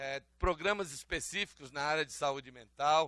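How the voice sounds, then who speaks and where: A man's voice has a bright, sharp tone. He speaks at a moderate pace with ordinary pitch variation. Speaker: trade union speaker. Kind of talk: conference talk. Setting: conference hall with audience. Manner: halting, many fillers.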